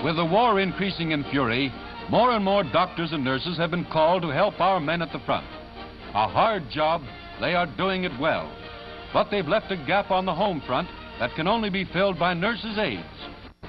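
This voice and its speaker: Over clear music in the background, a man with a high pitch talks at a moderate pace with ordinary pitch variation. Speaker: newsreel narrator. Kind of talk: 1940s newsreel recruitment ad narration. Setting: vintage newsreel recording. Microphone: old recording.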